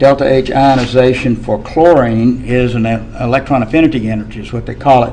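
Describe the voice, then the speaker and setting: Talking at a fairly quick pace with hardly any pauses, a man of medium pitch swings widely in loudness against noticeable background noise and audible room echo. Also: fairly even intonation. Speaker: chemistry teacher. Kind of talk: lecture.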